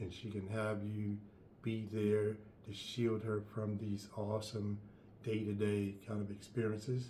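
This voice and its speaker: Speaking at a fairly slow pace, a man with a fairly low pitch keeps a monotone, flat intonation, with audible room echo and noticeable background noise. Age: 70s. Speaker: life coach. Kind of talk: advice monologue.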